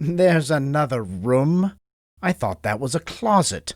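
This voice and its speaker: A man puts on a whiny character voice at a fairly high pitch with very wide pitch swings. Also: fairly slow pace. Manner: muttering.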